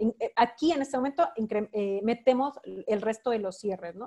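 With ordinary pitch variation, this woman's voice has a dark, mellow tone. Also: dry, close sound with no echo. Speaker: sales trainer. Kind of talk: online training webinar.

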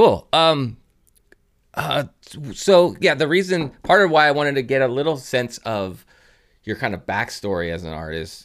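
Lively intonation marks this man's plain, everyday voice. He speaks at a moderate pace. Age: 40s. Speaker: podcast host. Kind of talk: casual chat. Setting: video call.

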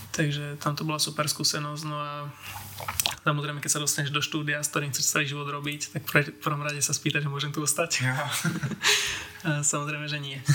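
Noticeable background noise sits behind a man with a fairly high pitch. He talks at a moderate pace in monotone, flat intonation. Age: 20s. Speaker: 3D environment artist. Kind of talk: interview. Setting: home studio.

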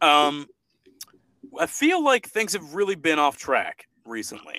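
A man speaks in a raised, projected voice, high-pitched for a male, with very wide pitch swings and a bright, sharp tone, recorded dry and close with no echo. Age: young. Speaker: podcast host. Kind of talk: casual chat. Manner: animated.

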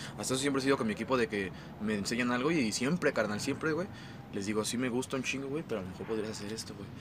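A very fast man's voice at a medium pitch with ordinary pitch variation, over noticeable background noise. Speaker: rapper. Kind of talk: casual chat. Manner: casual slangy.

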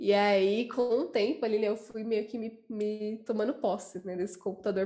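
In a dark, mellow tone, a woman talks at a medium pitch. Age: 20s. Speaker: designer. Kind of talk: casual chat.

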